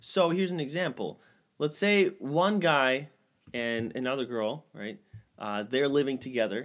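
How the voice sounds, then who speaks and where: Here a man with a fairly high voice speaks at a fairly slow pace. He has a plain, everyday voice and lively intonation. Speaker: podcast host. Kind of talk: casual banter podcast chat. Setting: home studio. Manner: joking, playful, frequently interrupting.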